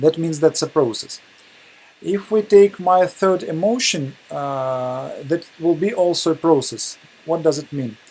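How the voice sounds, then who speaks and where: Over noticeable background noise, a man with a Russian accent speaks at a fairly slow pace in a fairly high pitch with ordinary pitch variation. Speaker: webinar presenter. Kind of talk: lecture. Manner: halting, many hesitations.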